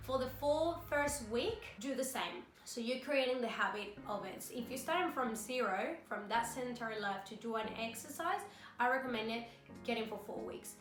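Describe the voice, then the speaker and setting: With a non-native accent, a woman of fairly high pitch speaks at a moderate pace with lively intonation, while noticeable background noise and audible room echo fill the recording. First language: not English. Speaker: fitness vlogger. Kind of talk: tutorial. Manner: casual, conversational.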